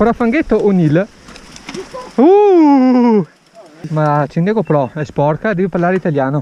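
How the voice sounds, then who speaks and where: Against noticeable background noise, a woman at medium pitch talks at a fairly slow pace with very wide pitch swings and long, frequent pauses. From Veneto, Italy. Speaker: mountain biker. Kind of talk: casual talk to camera while mountain biking.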